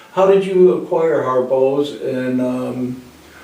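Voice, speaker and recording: A man's medium-pitched voice, with audible room echo and noticeable background noise. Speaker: talk show host. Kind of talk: casual interview. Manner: animated.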